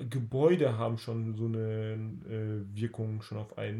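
Somewhat breathy, a man with a dark, mellow tone speaks at medium pitch and a fairly slow pace. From Ruhr area, Germany (Bottrop). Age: 20s. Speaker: dental student. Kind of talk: casual chat. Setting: sitting next to the host in the family home.

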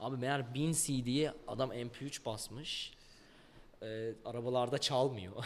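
Fairly even intonation marks a man's speech, delivered at a very slow pace. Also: medium pitch for a man. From Ankara, Turkey. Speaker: rapper. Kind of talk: interview.

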